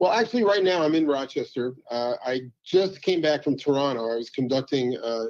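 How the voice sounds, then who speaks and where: Music plays in the background as the voice moves at a fairly quick pace with lively intonation. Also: man, fairly high pitch for a man. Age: 70s. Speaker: orchestra conductor and composer. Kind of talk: interview conversation. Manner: halting, many fillers.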